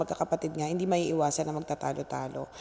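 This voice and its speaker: A woman speaks at a very fast pace. Her tone is animated. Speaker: vlogger. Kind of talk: vlog monologue. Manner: talkative.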